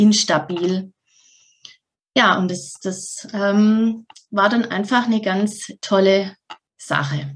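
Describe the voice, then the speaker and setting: Somewhat breathy, a woman's voice sits at a medium pitch with ordinary variation. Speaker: mental health coach. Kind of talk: interview.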